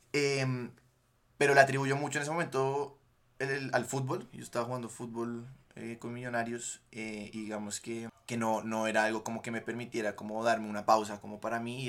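Speaking fairly quickly in a normal speaking voice, a man at medium pitch swings widely in loudness on a very clean recording with a silent background. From Colombia, Bogotá. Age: 20s. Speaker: podcast guest, former footballer. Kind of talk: casual chat.

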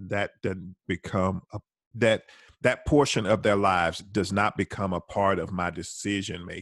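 A man with a Southern US accent speaks at a moderate pace and fairly low pitch. The sound is dry and close with no echo, against a quiet background. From US South, Alabama. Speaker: retired homicide detective. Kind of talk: casual discussion.

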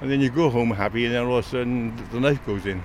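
There is noticeable background noise. A man with a medium pitch talks at a very fast pace. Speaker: retired computer technician. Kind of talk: casual chat. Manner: halting.

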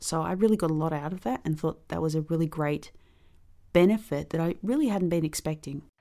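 A woman talks very fast with a fairly low pitch, a dark, mellow tone and ordinary pitch variation, in a very clean recording with a silent background. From Australia, Melbourne. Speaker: ukulele player. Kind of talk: interview testimony.

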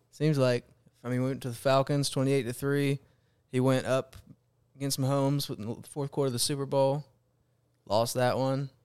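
The delivery moves at a moderate pace, broken by long, frequent pauses. Intonation is monotone and flat. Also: man, medium pitch for a man. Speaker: sports podcast host. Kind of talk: casual chat.

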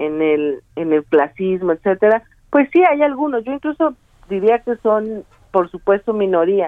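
Speaking at a fairly slow pace, a woman with an unremarkable speaking voice uses medium pitch and lively intonation. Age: 30s. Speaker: party official, politician. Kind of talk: interview.

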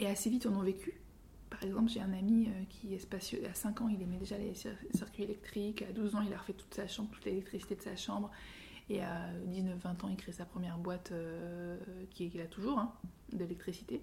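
Somewhat breathy and dark, mellow in tone, a woman's voice moves with fairly even intonation. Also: medium pitch for a woman, fairly quick pace. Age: 40s. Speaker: author and creativity consultant. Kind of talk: interview. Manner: halting.

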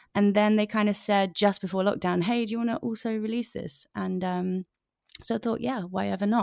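A woman with a London accent talks at a fairly quick pace in a medium pitch with ordinary variation. The recording is very clean with a silent background and has a dry, close sound with no echo. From North London. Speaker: singer-songwriter. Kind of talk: casual interview chat.

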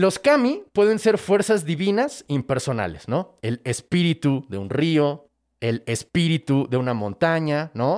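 With a central Mexican accent, a fairly high-pitched man speaks at a fairly slow pace in an animated tone, with very wide pitch swings and hardly any pauses, on a very clean recording with a silent background. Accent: Mexican Spanish (central Mexico). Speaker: comedian and podcast host. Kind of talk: casual storytelling of myths.

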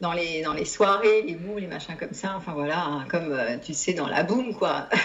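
A woman with a fairly low voice talks at a moderate pace with ordinary pitch variation. Room echo is audible. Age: 50s. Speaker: psychologist and psychotherapist. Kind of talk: testimony. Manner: halting.

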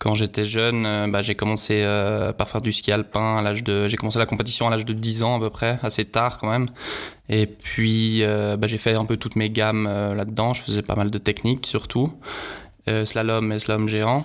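Keeping very even loudness and a monotone, flat intonation, a man speaks at a moderate pace. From Switzerland. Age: 30s. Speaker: professional skicross athlete. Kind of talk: interview. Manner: halting, many fillers and repetitions.

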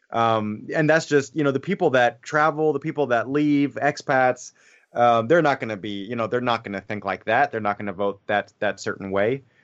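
In an American accent, a man speaks at a moderate pace. He has a normal speaking voice with medium pitch and ordinary pitch variation. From Bavaria, Germany (American family). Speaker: former English teacher. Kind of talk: casual discussion.

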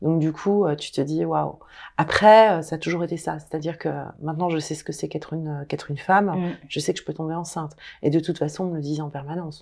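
A woman speaks at a very fast pace with a very deep, low pitch. Her intonation is fairly even, and the recording is very clean with a silent background. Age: 50s. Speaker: menopause author and social media account holder. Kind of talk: casual interview conversation. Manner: smiling.

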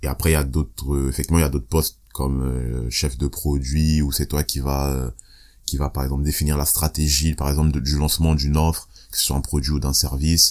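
A man talks at a fairly quick pace in a monotone, flat intonation, his pitch very deep and low. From Italy (Rome), born in Ivory Coast. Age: 20s. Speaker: rapper and singer. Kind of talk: casual interview chat.

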